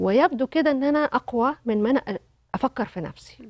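Against a quiet background, a woman speaks at a fairly quick pace. Her pitch is high and her intonation lively. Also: dry sound with no echo. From Egypt. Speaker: company director and widow; talk show guest. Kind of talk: testimony. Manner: halting. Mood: reflective, personal story. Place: studio. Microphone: lapel.

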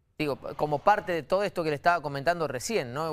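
The speaker is a man with a fairly high pitch. He talks at a very fast pace. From Argentina. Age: 40s. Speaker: TV interviewer. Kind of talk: interview. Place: studio.

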